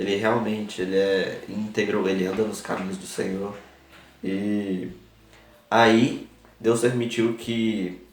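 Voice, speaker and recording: Fairly low-pitched man, very slow and monotone, with long, frequent pauses and audible room echo. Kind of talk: religious talk to camera. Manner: halting.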